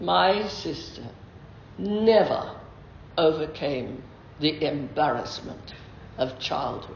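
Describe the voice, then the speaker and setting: A very slow, very deep woman's voice with very wide pitch swings and long, frequent pauses, against noticeable background noise. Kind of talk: lunchtime talk to a club. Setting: phone recording.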